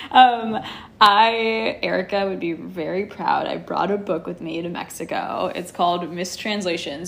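Speaking with a Californian accent at a fairly slow pace, this voice keeps a fairly even intonation over noticeable background noise. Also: woman. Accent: Californian American. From Los Angeles, California. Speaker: yoga teacher. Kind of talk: casual chat.

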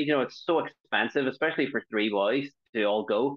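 A man with an Irish accent, fairly quick, with ordinary pitch variation. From Ireland. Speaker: stand-up comedian. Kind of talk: casual chat. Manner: fast talker.

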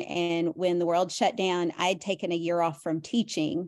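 A woman with an American accent, fairly low in pitch, at a moderate pace and with fairly even intonation, over a quiet background. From US South, Tennessee (Nashville). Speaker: reseller, former school teacher. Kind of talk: casual chat.

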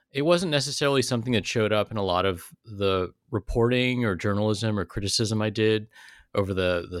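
A man with a Californian accent, fairly low in pitch, with lively intonation, dry and close sound with no echo, and a very clean recording over a silent background. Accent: General American (Californian). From US West Coast, California South Bay (Silicon Valley). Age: 40s. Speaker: writer and professor. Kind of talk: interview.

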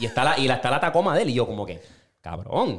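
A man speaks very fast in an animated tone. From Puerto Rico. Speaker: podcast host. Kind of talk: casual chat.

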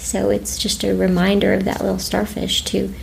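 A woman at a moderate pace, amid audible room echo and noticeable background noise. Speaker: bereaved mother and teacher. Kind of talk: emotional interview testimony.

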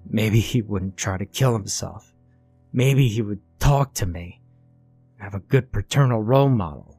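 A man's put-on character voice, wheezy and fairly low in pitch, at a moderate pace over faint music in the background. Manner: bitter, defiant.

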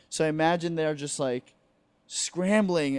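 An unremarkable speaking voice, a man with an American accent talks at a fairly high pitch and moderate pace with ordinary pitch variation. The recording is very clean with a silent background. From New Jersey, near New York City. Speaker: stand-up comedian. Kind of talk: casual chat. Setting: home couch.

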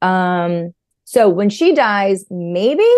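A woman's medium-pitched voice with a New York accent and lively intonation, against a quiet background. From New York, Long Island. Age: 40s. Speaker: therapist. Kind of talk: casual interview.

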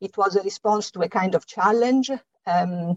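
A woman with an Italian accent, in dry, close sound with no echo. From Italy. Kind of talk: interview. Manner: hesitant, many fillers.

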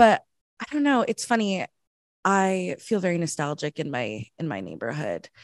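Speaking at a fairly low pitch with a Southern Californian accent, a woman uses very wide pitch swings at a moderate pace in a dry, close sound with no echo. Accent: Southern California American. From Los Angeles, San Fernando Valley. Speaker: improviser and sketch comedian. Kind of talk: casual chat. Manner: chatty.

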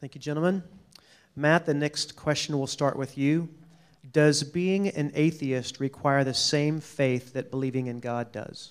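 In a plain, everyday voice, the speaker goes at a fairly slow pace with fairly even intonation. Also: man, fairly high pitch for a man. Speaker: campus ministry director. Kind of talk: event moderation. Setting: stage with audience.

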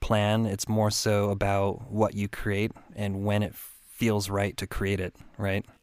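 Over a silent background on a very clean recording, a man talks very slowly in a flat monotone. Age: 40s. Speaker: podcast host. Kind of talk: casual interview.

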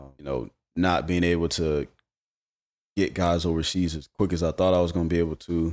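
On a very clean, dry and close recording with a silent background and no echo, a man with a Southern US accent speaks at a very deep, low pitch in a monotone, flat intonation. His pace is fairly quick, though he leaves long, frequent pauses. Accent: US South. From Charlotte, North Carolina. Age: 30s. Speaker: former basketball player. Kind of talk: casual chat.

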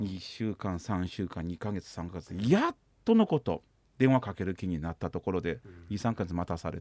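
With a Kansai accent, a man speaks at a moderate pace in a very deep, low voice with ordinary pitch variation, in a very clean recording that is dry and close with no echo and a silent background. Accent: Kansai dialect Japanese. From China, Shanghai. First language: Chinese (speaking Japanese). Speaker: psychosomatic medicine doctor. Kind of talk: radio interview.

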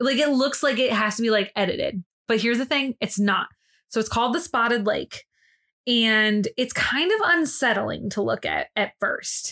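A woman with a high pitch speaks at a moderate pace in an animated, bright, sharp tone, her loudness very even. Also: ordinary pitch variation. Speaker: podcast co-host. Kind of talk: casual chat.

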